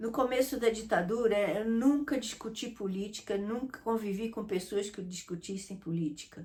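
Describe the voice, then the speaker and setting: A woman's fairly high, somewhat breathy voice with a dark, mellow tone, ordinary pitch variation and a moderate pace. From Brazil, Rio de Janeiro. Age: 70s. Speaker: interviewee recalling the dictatorship. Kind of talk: interview.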